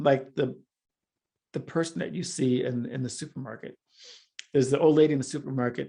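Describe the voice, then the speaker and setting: Speaking at a fairly quick pace with long, frequent pauses, a man uses a medium pitch, ordinary pitch variation and a dark, mellow, somewhat breathy tone. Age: 60s. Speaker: filmmaker and multimedia artist. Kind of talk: interview conversation.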